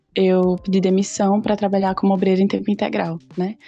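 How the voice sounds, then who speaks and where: Music plays in the background as a woman speaks with a northeastern Brazilian accent. Her medium-pitched voice stays monotone and flat. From Brazil, Paraíba (Campina Grande). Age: 20s. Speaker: missionary and English teacher. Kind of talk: casual interview.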